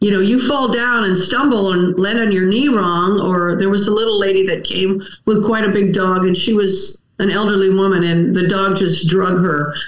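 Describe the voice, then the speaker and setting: A medium-pitched woman's voice with an American accent, fairly even intonation and very even loudness, at a moderate pace with hardly any pauses, in audible room echo. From Wisconsin, US Midwest. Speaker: dog groomer and trainer. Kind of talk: casual interview chat.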